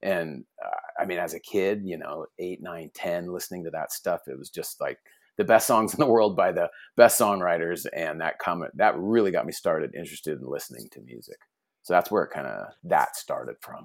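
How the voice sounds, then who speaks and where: With an American accent, a man talks at a moderate pace with big swings in loudness. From US West Coast, Orange County, California. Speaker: hardcore punk musician. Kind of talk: casual interview.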